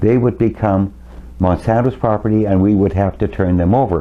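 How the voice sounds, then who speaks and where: A man speaks at a moderate pace with a Canadian prairie accent. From Canadian prairies, Saskatchewan. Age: 70s. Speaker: farmer. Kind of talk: interview.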